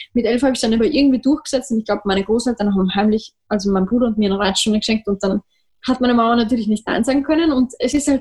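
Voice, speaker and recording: Recorded in a dry, close sound with no echo, a woman with a high pitch and ordinary pitch variation talks at a very fast pace. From Austria. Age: 20s. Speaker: trumpeter. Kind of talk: interview.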